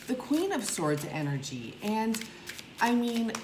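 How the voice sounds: Big pitch swings ring out against audible room echo. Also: woman.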